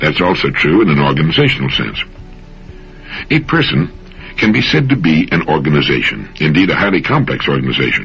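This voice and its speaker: With an American accent and lively intonation, a man with a very deep, low voice speaks at a fairly quick pace, taking long, frequent pauses over music in the background. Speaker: motivational radio speaker. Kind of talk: motivational talk / radio commentary.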